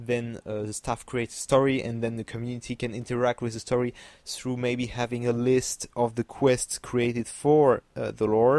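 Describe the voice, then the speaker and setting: This man, with a non-native accent, speaks in a medium pitch with monotone, flat intonation and hardly any pauses, recorded dry and close with no echo, very clean over a silent background. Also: moderate pace. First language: French. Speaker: gaming YouTuber. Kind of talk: video commentary. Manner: halting, many fillers.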